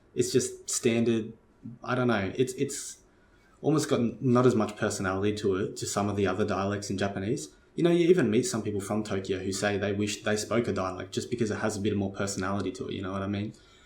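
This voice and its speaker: Very fast, somewhat breathy speech from a man with an Australian accent, fairly low pitch and ordinary pitch variation. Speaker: Japanese language learning youtuber. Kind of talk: casual talk to camera. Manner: casual, filler-heavy with false starts.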